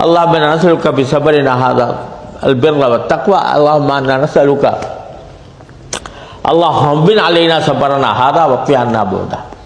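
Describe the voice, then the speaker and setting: There's noticeable background noise behind a man whose voice sits fairly high in pitch. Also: ordinary pitch variation, very even loudness. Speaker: Islamic scholar giving a sermon. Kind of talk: religious sermon to a mosque audience. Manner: calm, measured, earnest.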